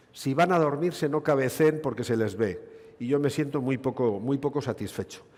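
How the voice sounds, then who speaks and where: A man speaks in a Basque accent. His pace is moderate and his intonation lively. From Basque Country, Spain. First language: Basque (speaking Spanish). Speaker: gynecologist, conference speaker. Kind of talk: medical conference lecture.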